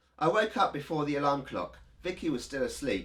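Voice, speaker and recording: At a fairly quick pace, the speaker talks over music in the background. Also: man. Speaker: YouTuber. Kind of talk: horror story reading.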